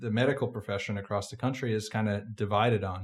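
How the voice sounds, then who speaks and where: A man with an American accent has an ordinary speaking voice, medium in pitch with fairly even intonation, in a very clean recording against a silent background. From Massachusetts. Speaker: podcast host, medical student. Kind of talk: interview.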